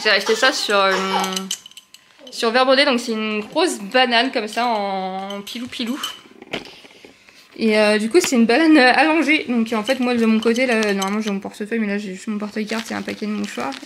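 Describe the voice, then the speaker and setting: Noticeable background noise sits behind a woman with a fairly high pitch. She leaves long, frequent pauses. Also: ordinary pitch variation, fairly quick pace. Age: 30s. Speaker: vlogger, new mother. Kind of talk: casual vlog. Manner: fast; chatty, hesitant fillers.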